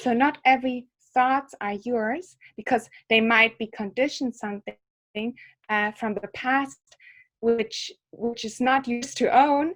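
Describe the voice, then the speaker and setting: A woman with a German accent talks at a fairly slow pace, with long, frequent pauses. Her pitch is high, with ordinary variation. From Germany. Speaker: psychologist and yoga teacher. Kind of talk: interview. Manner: halting, with fillers.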